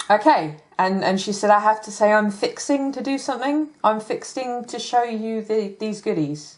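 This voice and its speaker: With an English accent, a woman speaks in a fairly high pitch and with lively intonation. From England. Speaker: crafter and hobby YouTuber. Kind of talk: product haul video. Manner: casual, hesitant with many ums.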